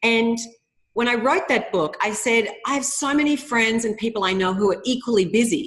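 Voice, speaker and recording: A woman with an Australian accent, fairly high pitch, ordinary pitch variation and a moderate pace. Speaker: author. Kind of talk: interview.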